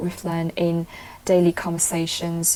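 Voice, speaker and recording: Here a woman speaks at a moderate pace. Her voice is fairly low, with a dark, mellow tone. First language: Cantonese and Mandarin. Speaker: English speaking test candidate. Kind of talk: mock speaking exam interview.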